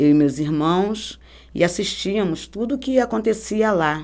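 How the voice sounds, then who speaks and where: A woman's plain, everyday voice at a moderate pace, with lively intonation. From Rio de Janeiro, Brazil. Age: 50s. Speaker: church member giving testimony. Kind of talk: testimony.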